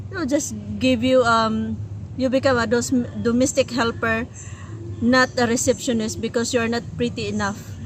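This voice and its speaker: A woman speaks in a Filipino accent. She leaves long, frequent pauses. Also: moderate pace. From Philippines. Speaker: language and culture tutor, co-host. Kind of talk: casual chat.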